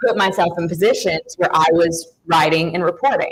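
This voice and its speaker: A woman with a strong Southern US accent and a fairly low pitch. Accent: thick Southern. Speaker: sports reporter. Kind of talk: panel discussion.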